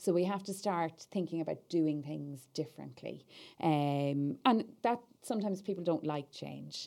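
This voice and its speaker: On a very clean recording with a silent background, a woman with an Irish accent speaks at a moderate pace in a fairly low, dark, mellow tone with lively intonation. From Ireland. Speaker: political party staff officer. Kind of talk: podcast interview.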